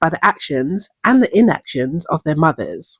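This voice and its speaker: A somewhat breathy woman's voice makes very wide pitch swings at a moderate pace, captured on a very clean recording with a silent background and a dry, close sound with no echo. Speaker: TV show commentator. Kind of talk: video essay commentary to camera.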